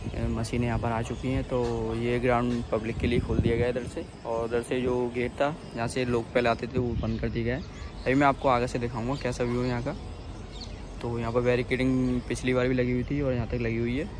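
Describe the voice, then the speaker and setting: Over noticeable background noise, a man speaks in a flat monotone, the sound dry with no echo. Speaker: local vlogger. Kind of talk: casual vlog chat. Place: open country. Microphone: phone near.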